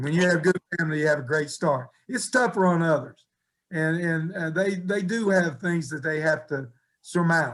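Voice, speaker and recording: With an American accent, a man speaks at a moderate pace. His pitch is high, with ordinary pitch variation. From West Virginia. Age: 70s. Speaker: college basketball coach. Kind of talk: radio interview.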